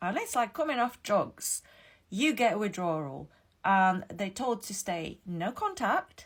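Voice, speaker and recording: An animated woman speaks fairly slowly with a non-native accent. Her pitch swings very widely. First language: not English. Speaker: ex-Jehovah's Witness YouTuber. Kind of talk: casual explainer monologue. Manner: animated, with repetitions and fillers.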